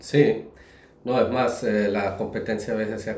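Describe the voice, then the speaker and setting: Noticeable background noise sits behind a man speaking at a fairly low pitch. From Germany. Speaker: business founder. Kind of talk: interview answer.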